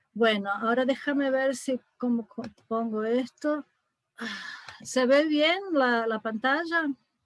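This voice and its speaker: A woman with a high pitch and ordinary pitch variation speaks at a very slow pace with long, frequent pauses, in a dry, close sound with no echo. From Brazil. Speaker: psychiatrist. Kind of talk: lecture. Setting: video call.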